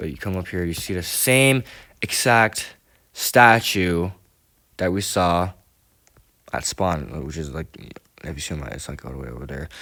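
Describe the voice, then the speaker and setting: With long, frequent pauses and big swings in loudness, a man with a very deep, low pitch speaks at a moderate pace using lively intonation. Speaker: gaming YouTuber. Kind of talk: gameplay commentary. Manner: hesitant, many fillers.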